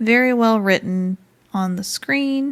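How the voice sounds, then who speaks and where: A woman talks at a fairly slow pace in an ordinary speaking voice, with ordinary pitch variation. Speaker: gaming YouTuber. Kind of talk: game review talk to camera. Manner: friendly, casual.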